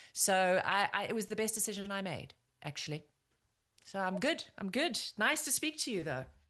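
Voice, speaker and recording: Against a quiet background, a woman with a bright, sharp tone talks at a moderate pace and medium pitch, her pitch swinging very widely. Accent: South African. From South Africa. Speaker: former TV news correspondent and anchor. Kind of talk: podcast interview.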